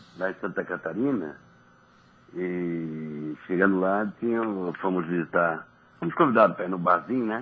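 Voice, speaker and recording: Lively intonation runs through speech at a moderate pace, broken by long, frequent pauses. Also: man. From Niterói, Rio de Janeiro state, Brazil. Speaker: former professional footballer. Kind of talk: radio interview chat. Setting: radio studio.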